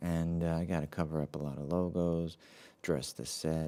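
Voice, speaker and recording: Very deep, low pitch from a man, dark and mellow in tone. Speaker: live-stream show host. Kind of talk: casual solo live stream. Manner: soft-spoken.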